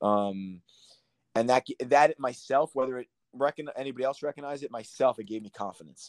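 With an American accent and a plain, everyday voice, a man speaks at a fairly quick pace and medium pitch with ordinary pitch variation and big swings in loudness, in a dry, close sound with no echo. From Long Island, New York. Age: 30s. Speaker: former professional soccer player. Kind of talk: casual interview.

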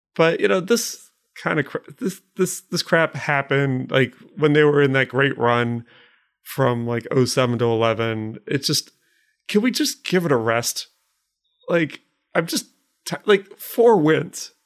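A man with an American accent speaks at a fairly slow pace, his pitch swinging very widely, with long, frequent pauses on a very clean recording against a silent background. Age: 30s. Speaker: podcast co-host. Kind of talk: casual chat.

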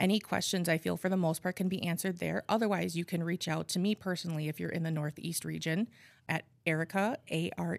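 A woman with an Upper Midwest accent and fairly low pitch, dry and close with no echo, on a very clean recording with a silent background. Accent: Upper Midwest American. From Appleton, Wisconsin. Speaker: nonprofit outreach coordinator. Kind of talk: interview.

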